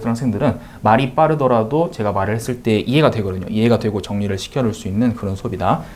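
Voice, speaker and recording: Very fast male speech at a medium pitch, its pitch varying in an ordinary way. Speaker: math tutor. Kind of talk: course information talk to parents.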